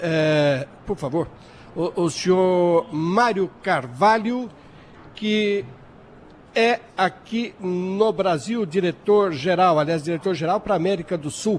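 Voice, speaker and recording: Here a man speaks at a very slow pace. His pitch is high. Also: ordinary pitch variation. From Brazil. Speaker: radio host. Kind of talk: radio interview. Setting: trade fair.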